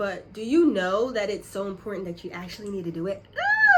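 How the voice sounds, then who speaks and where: Background noise stands out clearly. A woman talks through it at an average speed. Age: 20s. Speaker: YouTuber. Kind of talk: tutorial. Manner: casual.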